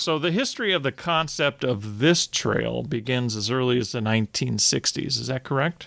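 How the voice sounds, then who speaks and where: A man with an American accent speaks in a normal speaking voice at a moderate pace, with hardly any pauses and ordinary pitch variation. The sound is dry and close, with no echo. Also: medium pitch for a man. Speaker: podcast host. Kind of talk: interview.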